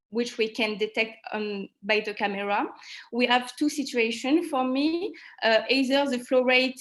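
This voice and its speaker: In a French accent, a woman talks fairly slowly, her pitch varying in an ordinary way. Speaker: trainee presenter at medical conference. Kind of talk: conference presentation with Q&A. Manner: halting.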